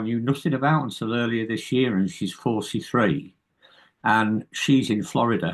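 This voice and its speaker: Here a man speaks in an American accent at a medium pitch. His pace is moderate. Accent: British, some hear it as a bit American. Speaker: indie musician. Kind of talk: casual interview chat. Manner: halting, many repeated words.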